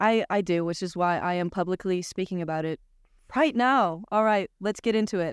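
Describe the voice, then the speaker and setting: A woman talks at a moderate pace in a medium, animated voice with ordinary pitch variation. The recording is very clean, with a silent background and a dry, close sound with no echo. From Washington State. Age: 20s. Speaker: podcast co-host and college student. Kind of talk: casual chat. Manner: animated, laughs often.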